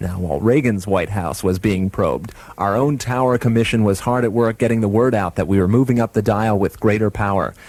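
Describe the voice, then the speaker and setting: Fairly low in pitch with ordinary pitch variation, a man with a plain, everyday voice talks at a fairly quick pace. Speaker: radio station staffer, recounting a prank. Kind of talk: radio station retrospective narration.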